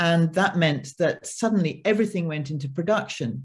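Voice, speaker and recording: A woman talks in a British accent, her voice somewhat breathy. Her pitch swings very widely. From United Kingdom. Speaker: film producer. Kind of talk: panel discussion. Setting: online video panel.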